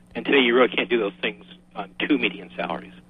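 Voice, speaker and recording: This man talks at a medium pitch with an American accent while noticeable background noise plays behind him. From Massachusetts, Boston area. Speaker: engineering manager and independent researcher. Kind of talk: radio interview.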